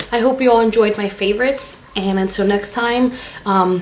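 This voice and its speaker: The speaker is a woman with a normal speaking voice and a medium pitch. Her intonation is fairly even, and her pace is moderate. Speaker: beauty vlogger. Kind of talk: product review vlog.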